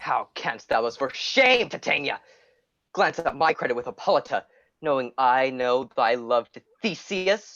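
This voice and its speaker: Put-on character voice at a low-to-middle pitch, moderate pace. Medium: stage play.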